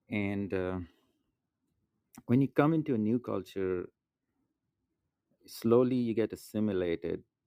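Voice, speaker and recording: Speaking with an American accent at a fairly slow pace, a man with a fairly low pitch, ordinary pitch variation and a dark, mellow tone leaves long, frequent pauses in a dry, close sound with no echo. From outside the US. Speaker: audience guest speaker. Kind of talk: casual discussion. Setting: social audio app room.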